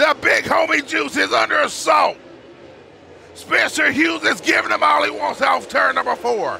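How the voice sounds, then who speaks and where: A man shouts at a fairly slow pace. Noticeable background noise can be heard behind him. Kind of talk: live race commentary.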